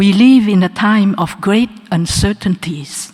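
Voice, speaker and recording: Speaking at a very slow pace, a woman keeps a medium pitch and fairly even intonation. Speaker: honorary doctorate recipient. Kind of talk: acceptance speech. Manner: formal.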